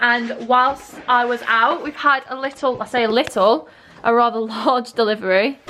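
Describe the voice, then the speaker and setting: A woman with an English accent speaks in a high pitch with ordinary pitch variation. Noticeable background noise sits behind her. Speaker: lifestyle vlogger. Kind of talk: vlog narration. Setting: at home. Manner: soft-spoken.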